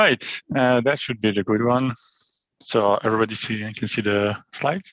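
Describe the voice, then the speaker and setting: A man's medium-pitched voice in a French accent, with fairly even intonation, at a moderate pace. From France. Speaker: IT solutions architect. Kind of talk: technical presentation. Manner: hesitant, many fillers.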